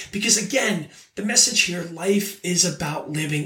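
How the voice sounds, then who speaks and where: In a raised, projected voice, a high-pitched man speaks over noticeable background noise. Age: 40s. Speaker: life coach. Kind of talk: motivational monologue. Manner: casual with many fillers.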